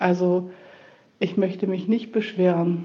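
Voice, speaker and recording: Here is a woman with a normal speaking voice. She talks at a fairly slow pace with a fairly low pitch. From northern Germany, Buchholz in der Nordheide. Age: 50s. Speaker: elderly care nurse, patient. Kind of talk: interview testimony.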